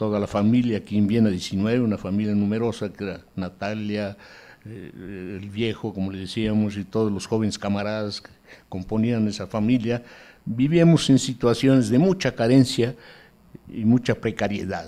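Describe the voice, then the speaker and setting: A dark, mellow tone with ordinary pitch variation at a moderate pace. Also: man. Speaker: museum director, grandson of a revolutionary; speaker. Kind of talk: speech. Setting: museum event with live audience. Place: hall. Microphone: podium.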